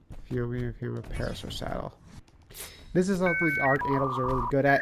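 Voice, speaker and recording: Over noticeable background noise, a man talks at a fairly quick pace. His pitch is medium, with ordinary variation. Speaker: gamer. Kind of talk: gameplay commentary. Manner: casual.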